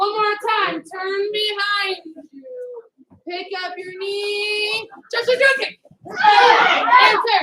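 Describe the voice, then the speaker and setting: A woman with an extremely high pitch talks in a raised, projected voice, her loudness swinging widely while her intonation stays fairly even. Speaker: karate instructor. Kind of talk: fitness class instruction. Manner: fast; commanding.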